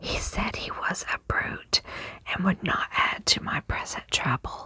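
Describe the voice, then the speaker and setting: With noticeable background noise behind it, a whisper moves along at a very slow pace. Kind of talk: whispered ASMR book reading. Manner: whispered.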